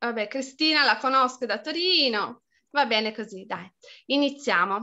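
Over a quiet background, a woman uses a raised, projected voice with a high pitch and a bright, sharp tone. Her intonation is lively and her pace very slow. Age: 40s. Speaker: pedagogist and permaculture teacher; permaculture teacher. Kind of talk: online lecture; lecture. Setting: video call. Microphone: video call.

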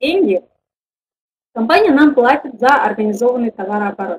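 With light background noise behind her, a woman speaks at a moderate pace in a high voice with lively intonation. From Kazakhstan. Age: 20s. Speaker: network marketing director. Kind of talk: online webinar presentation. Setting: webinar with online audience. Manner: informal, hesitant, with fillers. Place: home room. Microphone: webcam.

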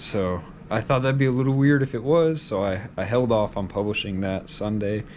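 A man, heard with light background noise, talks at a moderate pace and shows ordinary pitch variation. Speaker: vlogger. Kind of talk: casual vlog chat. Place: home room. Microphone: phone near.

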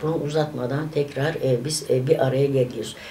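Over light background noise, a woman with a very deep, low pitch speaks at a fairly quick pace. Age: 60s. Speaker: vlogger. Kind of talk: casual chat. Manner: animated; hesitant fillers. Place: home room. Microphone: phone near.

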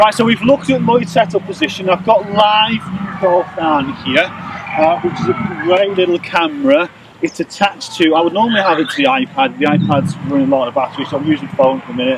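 At a moderate pace, a man speaks over noticeable background noise, the sound dry with no echo. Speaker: golf coach. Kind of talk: tutorial. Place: open country.

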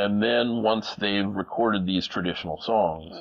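A man with an American accent and a fairly low pitch, at a moderate pace over a quiet background. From US Midwest (small-town Minnesota). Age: 50s. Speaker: music producer and recording engineer; interviewee. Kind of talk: interview. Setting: home recording studio. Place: studio. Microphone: lapel.

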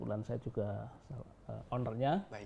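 At a moderate pace, a man speaks at medium pitch in a dark, mellow tone with vocal fry and ordinary pitch variation. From Gunung Kidul, Yogyakarta, Indonesia; Yogyakarta, Indonesia. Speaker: education foundation head and businessman; interviewee. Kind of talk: interview. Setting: on location at his foundation. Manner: halting, many fillers. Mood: relaxed, friendly. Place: home room.

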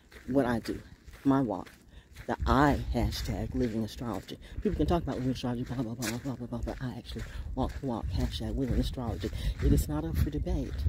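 A woman speaks at a fast pace in an extremely low pitch, her tone dark and mellow with a husky, rough edge.

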